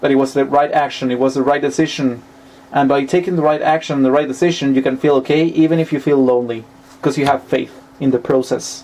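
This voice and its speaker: Very fast and at very even loudness, a man speaks in a fairly high voice with fairly even intonation. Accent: Spanish. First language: Spanish. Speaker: tarot reader. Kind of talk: tarot reading monologue. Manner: halting, with self-corrections.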